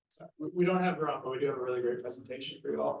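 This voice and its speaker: A man with an American accent, plus audible room echo. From United States. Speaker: sales lead at a software company. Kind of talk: sponsor presentation.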